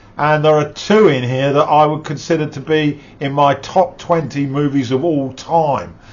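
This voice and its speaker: At a moderate pace with hardly any pauses, a man speaks with a fairly high pitch and fairly even intonation. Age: 60s. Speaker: movie reviewer. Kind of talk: casual review monologue. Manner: halting, frequent fillers.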